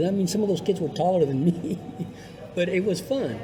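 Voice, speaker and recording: A man's high-pitched voice with ordinary pitch variation, noticeable background noise and audible room echo. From New Mexico. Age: 70s. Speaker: radio broadcaster and musician. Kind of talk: casual interview.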